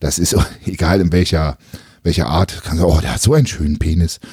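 This man talks very fast in a very deep, low voice with a dark, mellow tone, somewhat breathy, and his pitch varies in an ordinary way. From eastern Germany (former GDR). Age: 30s. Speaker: podcast host and bodybuilding YouTuber. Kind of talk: casual chat.

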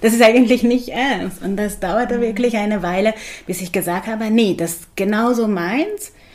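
Against noticeable background noise, a woman with a slight Hungarian accent and a fairly high pitch speaks with ordinary pitch variation. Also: moderate pace. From Hungary, Budapest. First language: Hungarian (speaking German). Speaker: psychologist and yoga teacher. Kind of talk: interview. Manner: hesitant with fillers.

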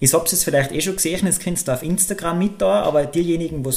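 The speech is very fast, in a Tyrolean accent. Noticeable background noise sits behind it. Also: man. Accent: Tyrolean Austrian German. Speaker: podcast co-host. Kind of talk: casual chat.

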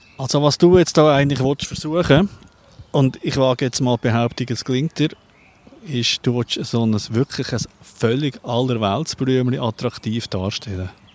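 This man has an unremarkable speaking voice at a medium pitch, talking at a moderate pace with ordinary pitch variation in a dry, close sound with no echo. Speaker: podcast host and producer. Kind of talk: casual chat. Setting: outdoors in a garden.

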